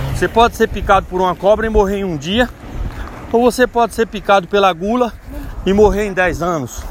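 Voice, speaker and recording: A man talks at a fairly quick pace in a high pitch, with ordinary pitch variation. Long pauses come often, and background noise is noticeable. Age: 40s. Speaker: lay preacher. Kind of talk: devotional talk. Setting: outdoors, walking.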